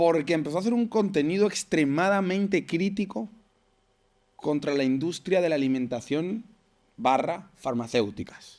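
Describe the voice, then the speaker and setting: Speaking at a moderate pace, the voice keeps its loudness very even while the intonation stays lively. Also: man, high pitch for a man. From Venezuela. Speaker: podcast host. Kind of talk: podcast interview.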